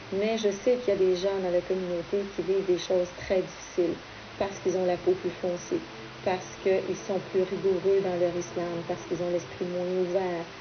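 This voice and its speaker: A woman at medium pitch, talking at a fairly quick pace in a flat monotone, with noticeable background noise. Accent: Quebec French. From Quebec. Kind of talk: interview testimony.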